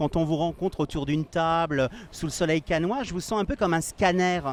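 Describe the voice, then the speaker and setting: The man's voice sits high. He talks at a moderate pace. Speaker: fashion interviewer. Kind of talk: interview. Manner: fluent.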